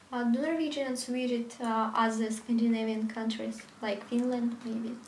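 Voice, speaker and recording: A woman speaks in a monotone, with flat intonation. Audible room echo and noticeable background noise fill the recording. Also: moderate pace. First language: Russian. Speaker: video blogger. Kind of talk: interview. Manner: halting.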